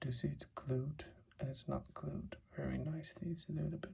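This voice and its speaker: A man whispering at a fairly slow pace. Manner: whispered.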